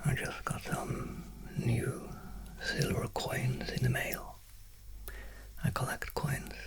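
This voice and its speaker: Whispering at a very slow pace comes through amid noticeable background noise. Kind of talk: ASMR. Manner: soft-spoken, whispered.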